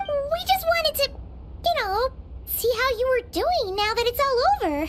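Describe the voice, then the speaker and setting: The voice is a put-on character voice at an extremely high pitch. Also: moderate pace. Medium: fan dub. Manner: casual, friendly.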